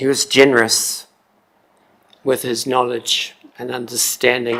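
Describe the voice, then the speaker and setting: Speaking fairly slowly in a New Zealand accent, a man keeps a medium pitch with monotone, flat intonation. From New Zealand, Tararua district. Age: 60s. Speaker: member of the public making a submission. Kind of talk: public submission at council hearing. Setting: council chamber.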